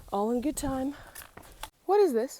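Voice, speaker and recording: A high-pitched woman's voice with very wide pitch swings at a moderate pace, over noticeable background noise. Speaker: thru-hiker vlogger. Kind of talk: outdoor vlog monologue. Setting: outdoors on hiking trail. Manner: animated.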